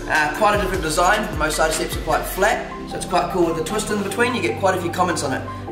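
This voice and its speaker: Clear music plays in the background. A man with a high pitch talks at a very fast pace. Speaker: presenter. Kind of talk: tutorial. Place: workshop.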